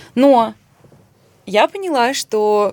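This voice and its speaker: Fairly high in pitch, a woman's voice moves with lively intonation. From Russia. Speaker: podcast co-host. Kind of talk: casual chat.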